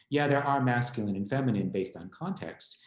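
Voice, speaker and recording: A man speaks at a fairly quick pace, and audible room echo surrounds his voice. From US Northeast, small town in Connecticut. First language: Spanish. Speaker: law school administrator and guest speaker. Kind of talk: informal lecture. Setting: online event.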